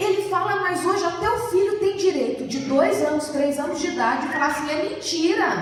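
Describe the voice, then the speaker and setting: A woman speaks at an extremely high pitch and a moderate pace with lively intonation, amid noticeable background noise and audible room echo. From Brazil, São Paulo state (Jundiaí). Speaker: preacher and therapist. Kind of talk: sermon. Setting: church.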